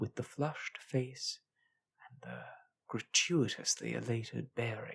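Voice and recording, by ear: Someone reads aloud in a natural voice with ordinary pitch variation, and the background is quiet.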